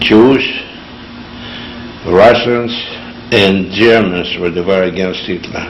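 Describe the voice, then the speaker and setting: A man speaks at a very slow pace with a fairly low pitch and fairly even intonation. The room echo is audible, and background noise is noticeable. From Lithuania. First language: Yiddish. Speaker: Holocaust survivor. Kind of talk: oral history interview. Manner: halting.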